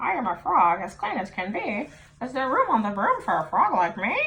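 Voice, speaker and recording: A put-on character voice, female-sounding and medium in pitch for a woman, moving at a fairly quick pace. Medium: read story.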